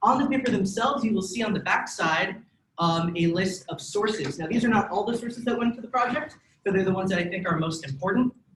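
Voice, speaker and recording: Speaking at a very fast pace, a man uses a high pitch. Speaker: student club presenter. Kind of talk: presentation to a student group.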